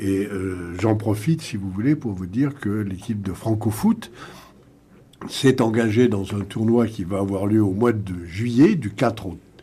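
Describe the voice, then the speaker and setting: A normal speaking voice moves at a fairly slow pace. Its pitch variation is ordinary. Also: man, fairly low pitch for a man. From France, Paris region. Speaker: sports entrepreneur. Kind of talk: radio panel discussion.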